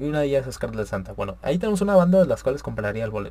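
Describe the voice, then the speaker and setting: Here a man is speaking. He has a northern Mexican accent. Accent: northern Mexican (Monterrey) Spanish. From Monterrey, Nuevo León, Mexico. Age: young. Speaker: podcast host. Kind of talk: casual solo talk show monologue. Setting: live stream. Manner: casual, slangy, with filler hesitations.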